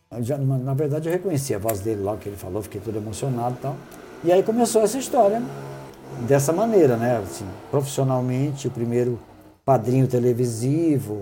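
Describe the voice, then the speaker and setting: A plain, everyday voice at a fairly quick pace with lively intonation. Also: man, medium pitch for a man. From interior of São Paulo state, Brazil. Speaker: singer-songwriter. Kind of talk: casual chat.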